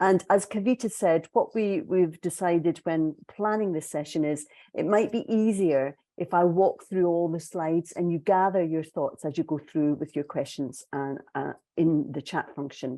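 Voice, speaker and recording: Against a quiet background, a woman with a Scottish accent speaks at a moderate pace in a dark, mellow tone, her fairly low pitch showing ordinary variation. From Scotland. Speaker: executive coach. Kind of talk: webinar presentation.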